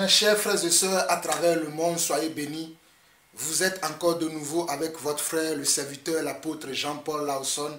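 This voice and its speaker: A fairly high-pitched man at a very slow pace with fairly even intonation, amid noticeable background noise and audible room echo. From Togo. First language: Mina (Ewe) (speaking French). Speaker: pastor. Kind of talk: video sermon commentary. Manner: halting with repetitions.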